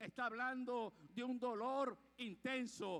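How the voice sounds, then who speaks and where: A man speaks in an animated tone with a raised, projected voice. His pitch is extremely high. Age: 60s. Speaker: preacher. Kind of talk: sermon.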